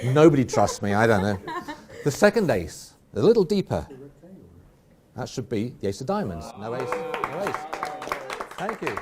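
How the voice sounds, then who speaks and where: A man speaks at a moderate pace, his medium pitch making very wide swings. Long pauses come often, and noticeable background noise runs underneath. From England. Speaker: magician. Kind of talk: live magic performance.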